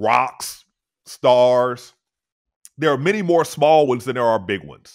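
Quiet background, a man speaking. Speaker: podcast guest. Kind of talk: explanatory podcast talk. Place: home room. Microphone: studio mic.

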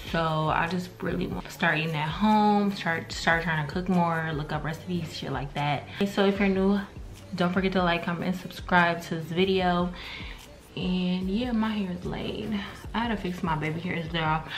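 An unremarkable speaking voice from a woman, fairly low in pitch and fairly even in intonation, at a moderate pace with light background noise. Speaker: vlogger. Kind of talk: casual vlog chat. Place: kitchen. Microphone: phone near.

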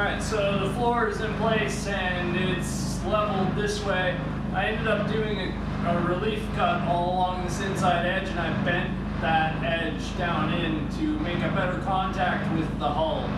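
A man at a fairly slow pace, with audible room echo and loud background noise. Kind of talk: casual build vlog explanation. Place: workshop. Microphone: camera far.

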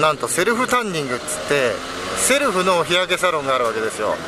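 Fast-paced and fairly high-pitched, a man talks with big pitch swings. Background noise is clearly audible.

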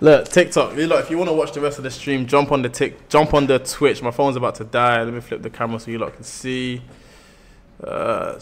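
Fairly quick speech in a strong London accent, with big jumps in loudness and noticeable background noise. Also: man. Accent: thick London. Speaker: live streamer. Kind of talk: casual chat. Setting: livestream. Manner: animated.

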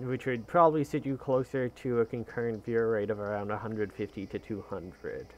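A man speaks at a moderate pace with hardly any pauses, using an unremarkable speaking voice. His pitch is medium, with ordinary pitch variation. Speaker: video game streamer and speedrunner. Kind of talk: live-streamed gameplay commentary. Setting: live stream from a home setup. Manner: casual and chatty.

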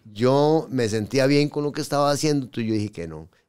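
With a Costa Rican accent, a man speaks at a moderate pace, his pitch swinging very widely against a quiet background. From Costa Rica, raised in Pérez Zeledón. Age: 50s. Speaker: tattoo artist; podcast guest. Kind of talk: interview storytelling. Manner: halting. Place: studio. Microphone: studio mic.

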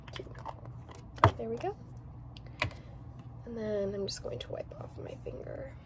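There is noticeable background noise. Through it, a woman speaks at a moderate pace. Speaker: beauty vlogger. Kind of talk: soft-spoken get-ready-with-me makeup talk. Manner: soft-spoken. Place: home room. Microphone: phone near.

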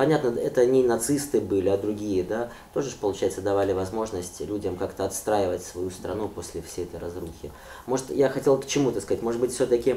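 Audible room echo surrounds a man speaking at a fairly quick pace with a fairly low pitch and ordinary pitch variation. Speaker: interviewer. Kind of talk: formal interview questions. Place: home room.

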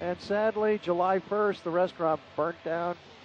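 Over music in the background, a man talks at a moderate pace with a high pitch. The sound is dry, with no echo. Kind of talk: tour guide commentary. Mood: friendly, enthusiastic. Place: plane. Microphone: headset.

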